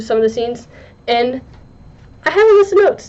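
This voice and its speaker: A woman's voice with noticeable background noise. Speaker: book reviewer. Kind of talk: casual video review. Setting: talking to a camera. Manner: halting.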